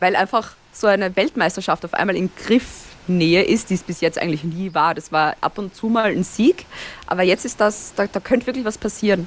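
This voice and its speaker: Talking at a fairly quick pace, a woman with an Austrian accent uses a medium pitch and ordinary pitch variation. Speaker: Formula 1 podcaster. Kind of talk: casual chat. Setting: video call.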